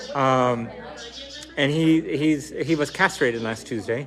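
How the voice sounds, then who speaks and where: Noticeable background noise sits behind the voice. A man delivers his words at a fairly slow pace. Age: 50s. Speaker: animal sanctuary founder hosting a fundraiser. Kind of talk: live-streamed fundraising telethon, casual chat.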